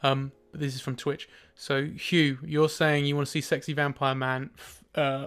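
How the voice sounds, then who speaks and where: On a very clean recording with a silent background, a man with a British accent speaks at a moderate pace and a fairly high pitch. His intonation is monotone and flat, with big swings in loudness. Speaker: artist streaming live drawing. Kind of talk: casual livestream chat. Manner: mumbly when working.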